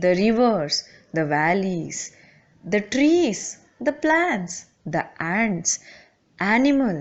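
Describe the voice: The recording is plain reading aloud.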